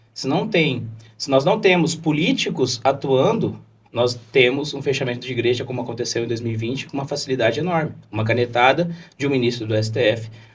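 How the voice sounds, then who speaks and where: A man's somewhat breathy voice. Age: 20s. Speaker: lawyer and political candidate. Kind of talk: podcast interview.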